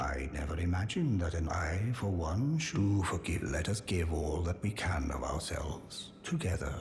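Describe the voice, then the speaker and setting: A man puts on a character voice, pitched very deep and low, speaking at a moderate pace over clear background noise. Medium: solo performance. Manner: earnest, formal.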